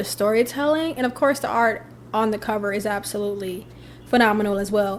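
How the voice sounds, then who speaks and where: Amid noticeable background noise, a woman speaks in an animated tone. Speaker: lifestyle vlogger. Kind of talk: casual favorites vlog. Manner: fast.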